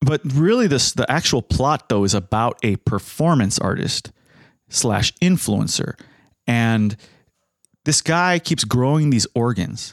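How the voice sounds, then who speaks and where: A man with an ordinary speaking voice, medium in pitch and fairly slow in pace, his loudness very even, on a very clean recording with a silent background and a dry, close sound with no echo. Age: 30s. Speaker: podcast host. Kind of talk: casual chat.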